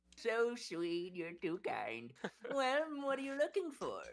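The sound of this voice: This put-on character voice has a fairly high pitch and moves at a fairly slow pace.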